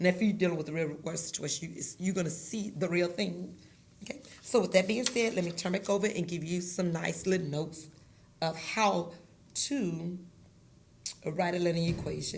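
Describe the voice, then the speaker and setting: Audible room echo surrounds a woman speaking at a moderate pace. Her voice is fairly low with ordinary pitch variation. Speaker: math teacher. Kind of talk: tutorial.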